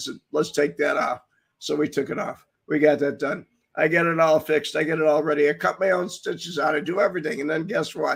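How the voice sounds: Putting on a character voice, a man sounds raspy at a fairly high pitch. He moves at a fairly quick pace with fairly even intonation.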